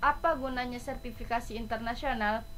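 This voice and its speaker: A woman speaks at a moderate pace in a high voice. There is audible room echo. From Indonesia, Surabaya (East Java) then West Java. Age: 20s. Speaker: college student. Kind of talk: self-introduction presentation, read from script.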